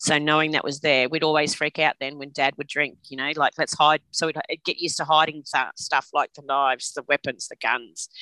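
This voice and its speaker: A woman's very deep, low pitch with a bright, sharp tone, monotone, flat intonation, hardly any pauses, big swings in loudness and a dry, close sound with no echo. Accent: Australian. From Australia (Queensland and New South Wales). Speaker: trauma survivor sharing her story. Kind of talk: personal testimony interview. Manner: hesitant, many fillers.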